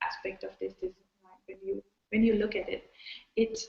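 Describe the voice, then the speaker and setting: In a Persian accent, a woman with a somewhat breathy voice speaks at a moderate pace. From Iran. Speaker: designer. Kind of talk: panel discussion. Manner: halting, many fillers.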